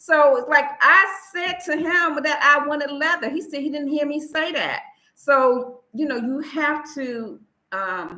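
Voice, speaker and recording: This woman speaks with an American accent. Her intonation is lively and her tone bright and sharp. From United States. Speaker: expat vlogger. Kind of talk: livestream talk. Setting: live stream.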